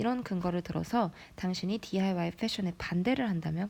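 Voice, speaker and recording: A woman talks at a fairly quick pace in a somewhat breathy, fairly low voice. Her pitch variation is ordinary. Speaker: English teacher. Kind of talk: lecture.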